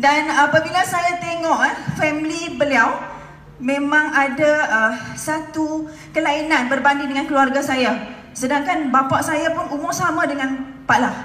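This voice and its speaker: A woman projects her high-pitched voice at a fairly slow pace. Her pitch varies in an ordinary way, and the room echo is audible. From Malaysia. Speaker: direct-selling entrepreneur; speaker. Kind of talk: motivational stage talk. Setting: stage with audience. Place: hall.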